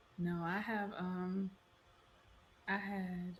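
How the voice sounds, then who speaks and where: A fairly low, somewhat breathy woman's voice. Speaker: podcast host. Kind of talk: casual chat. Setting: video call.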